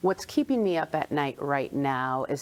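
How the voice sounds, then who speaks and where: This woman speaks at a very deep, low pitch. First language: Spanish. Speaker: clinical psychologist. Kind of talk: interview.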